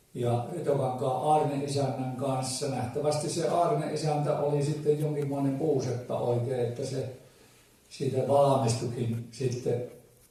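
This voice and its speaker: Background noise is plainly heard as a man speaks somewhat slowly. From Ähtäri, South Ostrobothnia, Finland. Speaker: folk musician. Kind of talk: dialect storytelling to a live audience. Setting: live event hall.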